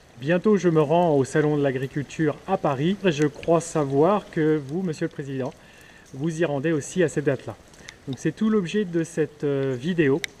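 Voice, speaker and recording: Noticeable background noise accompanies a man speaking at a moderate pace, fairly high in pitch, with ordinary pitch variation. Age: 30s. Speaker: farmer and youtuber. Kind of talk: conversation with a politician. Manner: hesitant.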